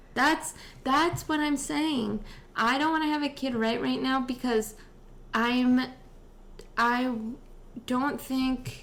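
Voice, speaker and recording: A woman with an American accent at a fairly slow pace, with ordinary pitch variation. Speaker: podcast host. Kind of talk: casual chat.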